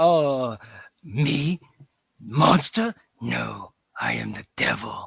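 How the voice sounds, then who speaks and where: Putting on a character voice, a man with a fairly high, raspy pitch speaks at a very slow pace with long, frequent pauses. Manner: menacing, gruff.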